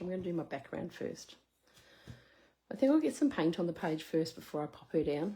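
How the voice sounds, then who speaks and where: A woman's somewhat breathy, fairly low voice with a dark, mellow tone, in an Australian accent. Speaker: craft demonstrator. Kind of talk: live craft tutorial. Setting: live stream. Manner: casual.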